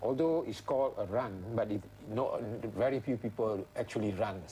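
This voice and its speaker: A man speaks at a moderate pace and a medium pitch, with ordinary pitch variation. His voice is somewhat breathy with a dark, mellow tone. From Malaysia. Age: 60s. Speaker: retired teacher and extreme sports enthusiast. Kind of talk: interview answer.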